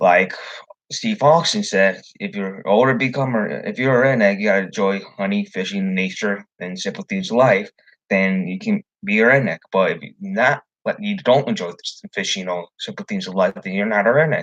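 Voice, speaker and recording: A man with a slight Southern US accent is heard in a dry, close recording with no echo. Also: moderate pace. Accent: slight rural Southern-sounding twang. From Chicago area, Illinois. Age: young. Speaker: fishing vlogger. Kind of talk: live stream monologue.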